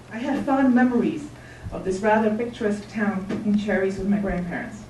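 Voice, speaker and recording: Talking at a fairly quick pace with a fairly high pitch, a woman is heard with audible room echo and noticeable background noise. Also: ordinary pitch variation. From Czechoslovakia, Ostrava. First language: Czech. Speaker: member of the public testifying. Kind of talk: public hearing testimony. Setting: city council hearing. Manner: formal, read from prepared text.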